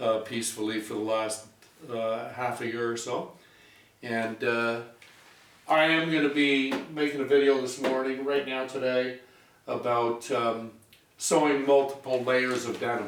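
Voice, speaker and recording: A man speaks at a medium pitch and a fairly slow pace, his intonation fairly even. Background noise is noticeable. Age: 60s. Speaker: sewing machine hobbyist and restorer. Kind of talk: casual talk to camera. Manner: rambling, hesitant.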